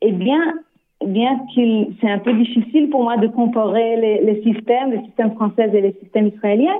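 At a moderate pace, a woman speaks with a non-native accent and ordinary pitch variation. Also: fairly high pitch for a woman. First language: not French (speaking French). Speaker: developmental psychologist. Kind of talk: radio interview. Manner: halting, many hesitations and repeats.

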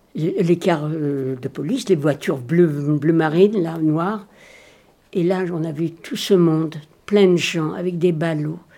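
Very slowly, a woman speaks at a fairly low pitch with a dark, mellow tone and ordinary pitch variation. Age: 80s+. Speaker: Holocaust survivor witness. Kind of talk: testimony.

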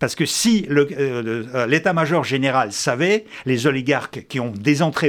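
The speaker uses lively intonation at a fairly slow pace, captured in a very clean recording with a silent background. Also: man. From Soviet Union (Russia). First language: Russian (speaking French). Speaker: former intelligence officer and essayist. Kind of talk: debate.

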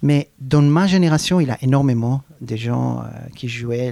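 A man speaks with a Hebrew accent. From Israel. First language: Hebrew (speaking French). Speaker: clarinettist. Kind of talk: interview. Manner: halting.

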